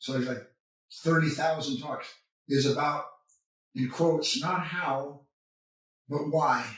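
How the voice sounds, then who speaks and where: Speaking at a fairly slow pace, a man with a fairly high pitch keeps his intonation fairly even amid audible room echo. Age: 70s. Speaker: spiritual author and teacher. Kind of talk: interview.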